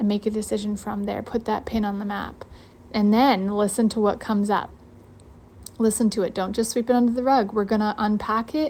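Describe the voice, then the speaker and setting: A woman talks at a fairly quick pace and a fairly high pitch. Her voice is somewhat breathy. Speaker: podcast host and coach. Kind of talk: live online challenge teaching. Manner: fast; animated.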